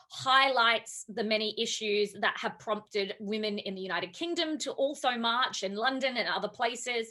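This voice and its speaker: With an Australian accent, this voice has a bright, sharp tone, ordinary pitch variation and a moderate pace. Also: woman. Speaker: academic. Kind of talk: panel talk.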